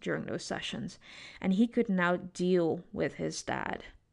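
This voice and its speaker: In a quiet background, a woman with an unremarkable speaking voice talks at a fairly slow pace, with medium pitch and ordinary pitch variation. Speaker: psychologist and podcast host. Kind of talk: solo podcast monologue on trauma and entrepreneurship.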